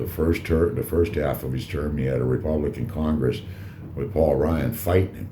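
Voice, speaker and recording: A man speaks with a very deep, low pitch. Audible room echo and noticeable background noise accompany him. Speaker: cigar reviewer and vlogger. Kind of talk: casual monologue vlog. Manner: loud; halting, many fillers.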